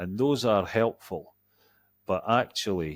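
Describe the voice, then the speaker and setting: A man with a fairly low pitch speaks at a fairly slow pace on a very clean recording with a silent background. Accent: Scottish. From Scotland. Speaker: executive coach. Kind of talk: interview.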